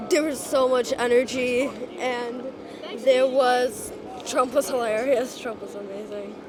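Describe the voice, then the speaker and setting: A woman with an American accent speaks at a fairly slow pace and a high pitch, with fairly even intonation and big swings in loudness. Music plays in the background, and there is audible room echo. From Long Island, New York. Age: young. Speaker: rally attendee. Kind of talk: street interview. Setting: outdoors.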